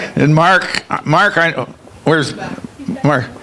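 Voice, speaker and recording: Against noticeable background noise, a man with a fairly high pitch talks at a fairly slow pace with ordinary pitch variation. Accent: American. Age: 90s. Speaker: award honoree. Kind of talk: acceptance speech. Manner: halting.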